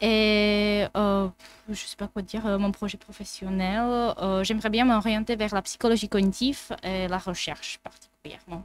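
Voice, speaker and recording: Speaking fairly slowly with a Czech accent, a woman keeps a medium pitch and a monotone, flat intonation in a dry, close sound with no echo. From Czech Republic. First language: Czech (speaking French). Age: 20s. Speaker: psychology student. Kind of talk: casual chat.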